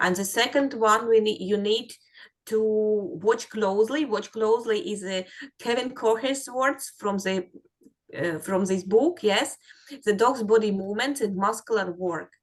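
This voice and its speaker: At a moderate pace, a woman speaks with fairly high pitch and ordinary pitch variation. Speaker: dog trailing instructor. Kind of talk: webinar instruction. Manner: halting, many fillers.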